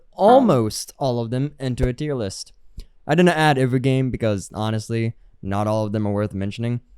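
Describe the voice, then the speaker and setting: A man talks at a fairly quick pace with a medium pitch. His tone is dark and mellow, with ordinary pitch variation. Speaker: gaming YouTuber. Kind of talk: scripted commentary.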